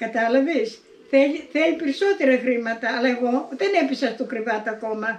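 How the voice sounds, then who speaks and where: A woman's high voice rises and falls in lively intonation as she talks at a moderate speed. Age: 80s+. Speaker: elderly villager. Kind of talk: interview.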